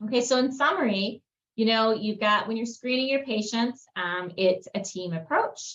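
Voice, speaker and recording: The voice is a woman's, a normal speaking voice at a moderate pace. It sits fairly high in pitch, with ordinary variation. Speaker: dentist. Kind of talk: webinar presentation. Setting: webinar video call. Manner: many fillers.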